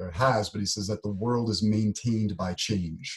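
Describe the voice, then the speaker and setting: This man's fairly low voice is somewhat breathy, with ordinary pitch variation. He has an American accent. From United States. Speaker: podcast co-host, programmer. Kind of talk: casual chat.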